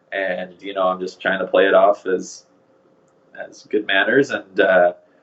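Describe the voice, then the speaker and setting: A man with a western Canadian accent speaks at a fairly slow pace. His loudness shows big swings. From Canada, Vancouver, British Columbia. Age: 20s. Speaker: groom being interviewed. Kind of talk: casual interview chat. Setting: podcast.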